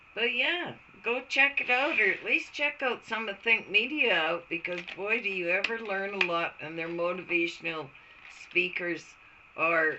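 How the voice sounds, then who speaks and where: A woman at medium pitch talks at a fairly slow pace. Her intonation is lively, with noticeable background noise. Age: 60s. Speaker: beauty vlogger. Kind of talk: casual tutorial vlog. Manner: halting.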